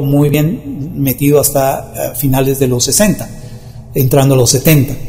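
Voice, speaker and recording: Fairly high male speech against noticeable background noise. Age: 50s. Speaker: spiritual healer and radio host. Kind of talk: monologue forecast talk show.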